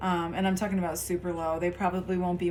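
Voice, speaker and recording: A woman's fairly low voice stays monotone and flat, with audible room echo around it. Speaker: tarot reader and spiritual coach. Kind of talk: casual direct-to-camera talk. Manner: low key, subdued.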